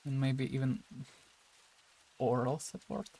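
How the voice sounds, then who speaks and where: A man's somewhat breathy voice at a medium pitch and a very slow pace, with ordinary pitch variation. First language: Russian. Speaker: digital sculptor streamer. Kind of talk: casual livestream chat. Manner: halting.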